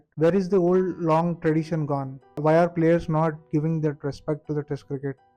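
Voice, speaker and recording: A man speaks with an Indian accent at a fairly quick pace, his pitch fairly high. His tone is dark and mellow, and his intonation stays flat and monotone. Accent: Indian English (Telugu). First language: Telugu. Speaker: cricket commentator YouTuber. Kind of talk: emotional monologue. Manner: impassioned.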